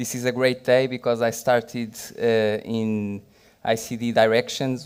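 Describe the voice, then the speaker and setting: A man speaks at a medium pitch with a Portuguese accent. His intonation is monotone and flat. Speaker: digital policy official. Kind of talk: panel discussion. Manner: halting.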